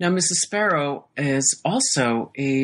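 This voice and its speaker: In a Midwestern accent, a woman with a very deep, low pitch speaks with lively intonation. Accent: General American (Midwest). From US Midwest, Iowa. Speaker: novelist. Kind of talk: interview.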